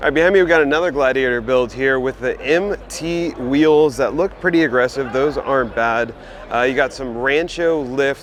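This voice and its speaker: Over noticeable background noise, a man talks at a moderate pace with fairly high pitch. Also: ordinary pitch variation. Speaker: automotive video host. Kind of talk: walkaround vehicle showcase. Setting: trade show floor. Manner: casual, enthusiastic.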